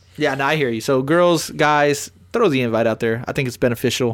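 A man speaks with an American accent and ordinary pitch variation. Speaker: podcast host. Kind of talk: casual chat. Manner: animated.

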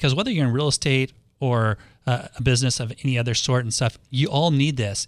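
A plain, everyday voice: a man with an American accent talks at medium pitch and a moderate pace with fairly even intonation. The recording is very clean with a silent background and a dry, close sound with no echo. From Los Angeles, US West Coast. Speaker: radio host and realtor. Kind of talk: radio talk show interview. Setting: radio studio.

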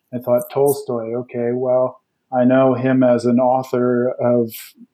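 A man at medium pitch with a Western Canadian accent, at a moderate pace. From Canada, British Columbia. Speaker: geography professor. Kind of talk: interview.

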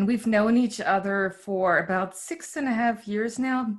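A woman with a German accent, medium-pitched, at a fairly slow pace. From East Berlin, Germany. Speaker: podcast host. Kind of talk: casual interview.

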